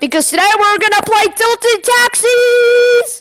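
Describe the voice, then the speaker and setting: Using a put-on character voice, a woman talks at a moderate pace in an extremely high pitch. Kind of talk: announcer. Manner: bright, showy, excited.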